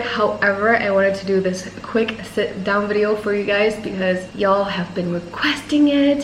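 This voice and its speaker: A woman talks at a moderate pace with an American accent and a medium pitch. There is audible room echo and noticeable background noise. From Thailand and United States. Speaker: vlogger and personal trainer. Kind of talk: casual chat.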